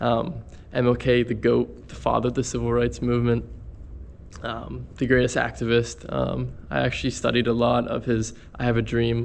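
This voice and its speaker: A man at a moderate pace with a western Pennsylvania accent. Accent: western Pennsylvania American. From Pittsburgh, western Pennsylvania. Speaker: travel vlogger. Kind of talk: casual vlog talk. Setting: walking around a city. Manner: hesitant, filler-heavy.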